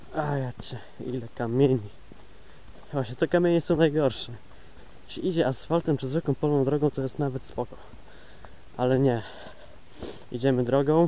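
At a moderate pace, a man with a fairly high pitch and a dark, mellow tone speaks with fairly even intonation and long, frequent pauses. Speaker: pilgrim vlogger. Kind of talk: walking video diary. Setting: outdoors, walking on a trail. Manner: casual, rambling.

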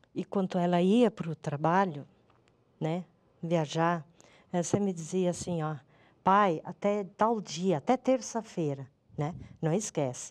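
A woman talks at a fairly slow pace with fairly low pitch and ordinary pitch variation. Her long, frequent pauses stand out against a quiet background. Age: 50s. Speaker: mother of a crash victim; interviewee. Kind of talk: testimony. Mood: grieving, emotional. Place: studio.

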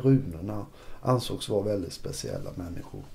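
With ordinary pitch variation, a man speaks in a dark, mellow tone that is somewhat breathy. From Sweden, Kalmar county; Sweden. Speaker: journalist and political scientist; interviewee. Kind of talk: interview about church history. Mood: calm, relaxed. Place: studio. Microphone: lapel.

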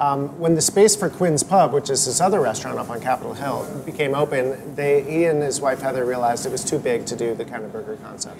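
A man's very fast speech with ordinary pitch variation, against noticeable background noise. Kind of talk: interview answer. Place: cafe. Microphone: lapel.

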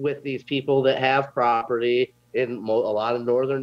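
Recorded with a dry sound and no echo, a man talks at a moderate pace. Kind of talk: interview answer. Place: home room. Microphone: video call.

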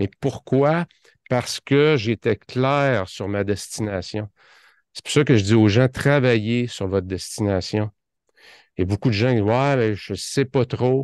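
Very slowly, a man speaks in a Quebec accent with ordinary pitch variation, in a dry sound with no echo and a quiet background. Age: 50s. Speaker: productivity consultant; podcast guest. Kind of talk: interview podcast. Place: office. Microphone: studio mic.

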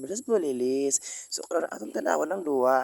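A man talks at a fairly quick pace with lively intonation and a fairly high pitch. The sound is dry with no echo, against a quiet background. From Philippines. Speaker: vlogger. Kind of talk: vlog narration. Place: hall. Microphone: phone near.

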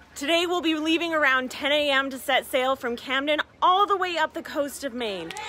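A woman uses a raised, projected voice with lively intonation at a moderate pace, in a dry sound with no echo. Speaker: travel vlogger. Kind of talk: casual vlog chat. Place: waterside. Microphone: phone near.

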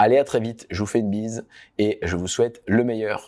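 A man with a fairly low pitch at a fairly quick pace, quiet background. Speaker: entrepreneur and business coach; workshop host. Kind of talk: online workshop wrap-up; online workshop talk to clients. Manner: fast; animated. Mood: warm, relaxed closing remarks. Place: office.

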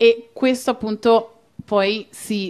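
Here a woman is speaking. Her intonation stays fairly even. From Italy, Rome. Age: young. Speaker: activist; guest. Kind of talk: panel discussion. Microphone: handheld.

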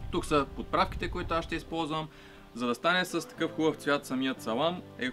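Over clear background music, a man speaks at a moderate pace. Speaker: home cook host. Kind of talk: cooking tutorial. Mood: friendly, relaxed. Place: garden.

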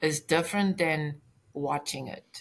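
Her voice is fairly low, and the woman speaks with lively intonation. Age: 60s. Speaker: retired occupational therapist, brain injury survivor. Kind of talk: casual interview. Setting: video call. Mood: earnest, reflective. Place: home room.

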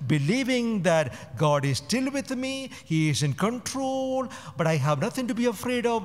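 The man talks fairly slowly. His pitch rises and falls across a very wide range. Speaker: priest. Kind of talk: homily. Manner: rhetorical, emphatic, repeating words for effect. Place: church. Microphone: podium.

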